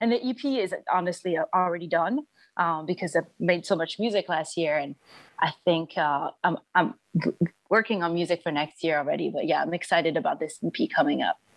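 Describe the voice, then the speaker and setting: A woman with a French accent, fairly low in pitch with ordinary variation, at a fairly quick pace, in a dry, close sound with no echo. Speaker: singer and musician. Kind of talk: interview. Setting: video call.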